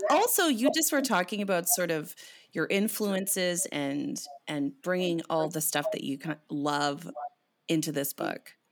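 Speaking fairly slowly in a Canadian accent, a woman swings her pitch very widely. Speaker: podcast host and poet. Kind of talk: casual chat. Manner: animated.

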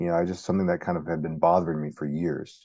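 A man speaks with an American accent. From Arizona. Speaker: science journalist and author. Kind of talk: interview.

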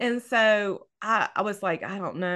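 A woman's bright, sharp tone in a Southern US accent, over a quiet background. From US South, North Louisiana. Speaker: novelist. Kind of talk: casual chat. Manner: animated.

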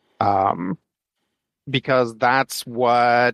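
Medium-pitched and fairly even in intonation, a man speaks with an unremarkable speaking voice. The very clean recording has a silent background and a dry, close sound with no echo. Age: 40s. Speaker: comic book podcast co-host. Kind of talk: casual chat.

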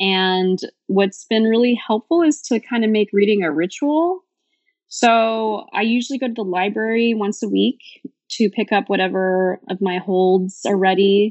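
A woman's medium-pitched voice with an American accent, a fairly slow pace and ordinary pitch movement. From US West Coast, San Francisco Bay Area. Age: 30s. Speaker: former social advocacy worker, avid reader. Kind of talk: casual interview chat.

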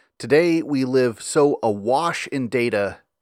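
An ordinary speaking voice: a man of medium pitch with an American accent and ordinary pitch variation, on a very clean recording with a silent background. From US South, Memphis, Tennessee. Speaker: podcast host, medieval history. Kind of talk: scripted narration with readings from a medieval chronicle.

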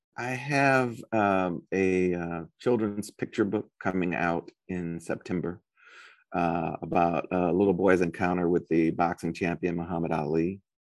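A man with an American accent speaks at a fairly slow pace in a very deep, low pitch, the background quiet. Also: ordinary pitch variation. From US Midwest, St. Louis, Missouri. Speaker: novelist and professor. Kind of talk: interview. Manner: hesitant, many fillers and repetitions.

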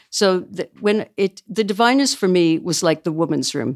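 A woman with a Canadian accent talks at a moderate pace in a fairly low pitch with vocal fry. The recording is very clean, dry and close, with no echo and a silent background. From small-town Canada. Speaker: book publisher. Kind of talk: casual chat.

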